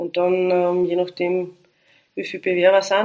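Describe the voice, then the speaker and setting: At a moderate pace and medium pitch, a woman talks in a normal speaking voice. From Austria, Styria (Liezen). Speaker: police commander. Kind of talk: casual interview.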